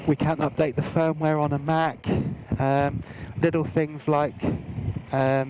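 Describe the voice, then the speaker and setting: A man's voice against noticeable background noise. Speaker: motorcycle gear reviewer. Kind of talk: product review. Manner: hesitant, many fillers.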